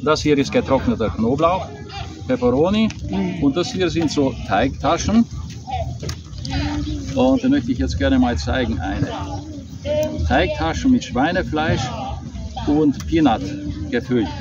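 A man speaks at a fairly slow pace, with long, frequent pauses. Loud background noise sits under a dry sound with no echo. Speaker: vlogger. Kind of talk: casual vlog chat. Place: street.

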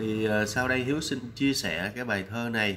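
At a moderate pace, the voice has a bright, sharp tone and ordinary pitch variation. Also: man. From Vietnam. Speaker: vlogger. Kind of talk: vlog commentary. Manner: hesitant, many fillers. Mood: warm, respectful. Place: home room. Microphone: webcam.

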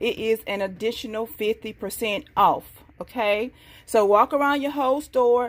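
Here a woman speaks with a high pitch. Her pitch variation is ordinary. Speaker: bargain haul vlogger. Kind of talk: casual vlog chat. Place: kitchen. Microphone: phone near.

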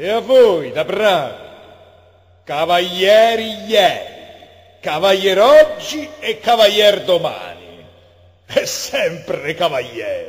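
Very slowly and with long, frequent pauses, a man speaks in a Roman accent over noticeable background noise. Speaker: poetry reader. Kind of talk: poetry reading.

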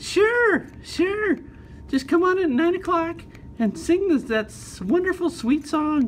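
A cartoonish character voice, female-sounding and extremely high in pitch, drawn out at a very slow pace over clear background noise. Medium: puppet show. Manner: enthusiastic, persuasive, warm.

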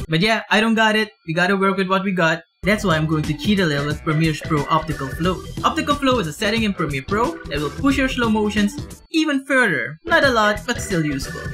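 A man speaks in a raised, projected voice at a fairly quick pace with hardly any pauses. Clear music plays in the background. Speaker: vlogger. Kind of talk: casual vlog chat. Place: home room.

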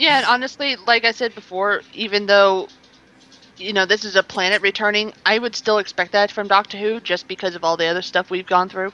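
A woman with an American accent talks at a fairly quick pace in a normal speaking voice, medium in pitch with fairly even intonation. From US East Coast, near Washington DC. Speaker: podcast panelist. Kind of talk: casual chat.

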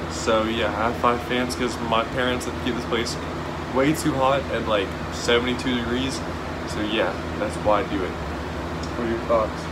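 Loud background noise runs under a man who talks at a moderate speed, pausing often and at length. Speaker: fitness vlogger. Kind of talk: casual vlog chat. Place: home room. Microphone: phone near.

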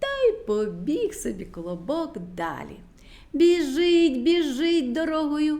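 A woman's high-pitched voice, dark and mellow in tone, at a slow pace with big pitch swings

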